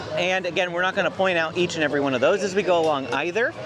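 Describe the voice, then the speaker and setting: A man speaks at a very fast pace. Noticeable background noise and audible room echo fill the recording. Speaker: theme park vlogger. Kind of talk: walking tour narration. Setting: outdoors.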